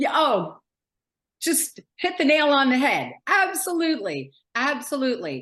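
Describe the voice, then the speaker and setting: In an American accent, a woman speaks fairly slowly in a high pitch with very wide pitch swings. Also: quiet background. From New York City. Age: 60s. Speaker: author. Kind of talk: interview.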